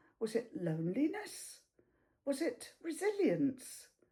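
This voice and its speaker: A woman's dark, mellow tone at a high pitch, with very wide pitch swings and a very slow pace. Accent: British. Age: 70s. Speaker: retired accountant, artist and teacher. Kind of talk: reflective personal talk to camera.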